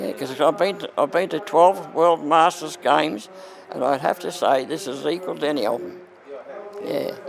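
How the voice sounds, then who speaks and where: A man with an Australian accent at a moderate pace, lively intonation, and noticeable background noise. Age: 80s+. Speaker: masters athlete. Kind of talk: interview answer.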